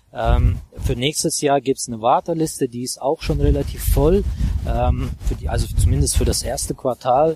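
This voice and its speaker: The man's voice sounds dry and close with no echo, at a moderate pace, over noticeable background noise. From Azerbaijan, Baku. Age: 30s. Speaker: real estate investor and coach. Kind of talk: interview. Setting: outdoors on a walk.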